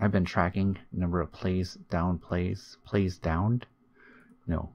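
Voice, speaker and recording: A quiet man's very deep, low voice, monotone and flat, at a very slow pace. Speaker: video game streamer. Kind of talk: gaming commentary. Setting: home recording in new room. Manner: casual.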